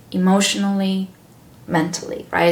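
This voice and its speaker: A woman with a Romanian accent at a moderate pace, with noticeable background noise and audible room echo. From Romania (Sibiu, Transylvania). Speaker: wellness coach and cooking teacher. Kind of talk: interview.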